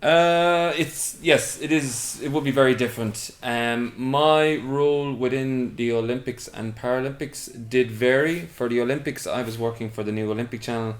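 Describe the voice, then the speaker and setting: A man with an Irish accent, hardly any pauses between words. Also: medium pitch for a man, ordinary pitch variation, moderate pace. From Ireland, West Clare. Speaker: TV production worker. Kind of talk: interview. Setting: bedroom interview.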